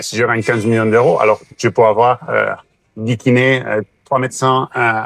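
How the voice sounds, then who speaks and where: Flat, monotone speech comes at a moderate pace, with a dry, close sound and no echo. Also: man, medium pitch for a man. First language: Catalan (speaking French). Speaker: sports doctor. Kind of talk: interview. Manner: halting, many hesitations.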